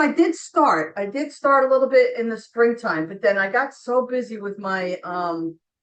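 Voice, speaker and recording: A high-pitched woman talks at a moderate pace with hardly any pauses, her pitch swinging very widely and her loudness rising and falling sharply. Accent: slight New Jersey. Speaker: author. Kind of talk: interview.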